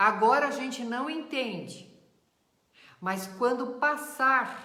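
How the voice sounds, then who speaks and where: A woman speaks in a warm tone. Her intonation is lively. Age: 60s. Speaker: spiritist teacher. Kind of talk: lecture. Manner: warm, conversational.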